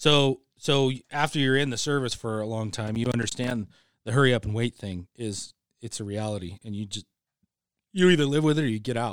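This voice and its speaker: In a very clean recording with a silent background and a dry, close sound with no echo, a man with an American accent and a normal speaking voice talks at a fairly quick pace, his medium pitch showing ordinary variation. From Idaho. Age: 40s. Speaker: retired military senior sergeant. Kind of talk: casual chat. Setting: studio.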